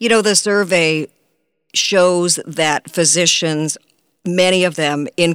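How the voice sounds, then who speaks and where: A woman talks at a fairly slow pace in an ordinary speaking voice, pitched fairly low. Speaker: radio news magazine host. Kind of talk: radio news magazine patter, introducing segments. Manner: polished, brisk, formal.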